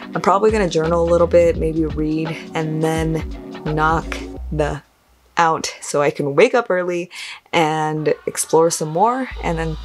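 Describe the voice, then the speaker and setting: A woman talks at a fairly slow pace with faint music in the background. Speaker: travel vlogger. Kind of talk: casual vlog chat. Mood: cheerful, relaxed. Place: home room. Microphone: phone near.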